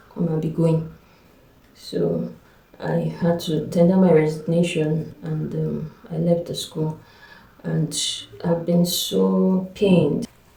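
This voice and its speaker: A woman speaks at a very slow pace with long, frequent pauses. Noticeable background noise runs behind her. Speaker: vlogger, school administrator. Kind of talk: personal vlog testimony.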